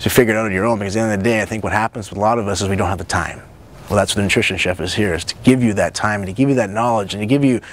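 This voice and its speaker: A man's voice sits fairly low. He speaks at a very fast pace. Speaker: nutrition coach and show host. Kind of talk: casual monologue to camera. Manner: animated.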